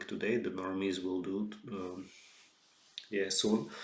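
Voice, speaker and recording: A man speaks with a Slovak accent at a fairly slow pace, his fairly low pitch showing ordinary variation and some vocal fry. Audible room echo surrounds the voice. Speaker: author. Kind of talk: solo lecture monologue. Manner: halting, many fillers and restarts.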